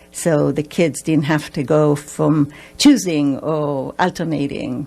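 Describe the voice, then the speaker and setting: A woman with an Israeli accent speaks at a fairly slow pace. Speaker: family therapist. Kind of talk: radio interview. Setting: radio studio.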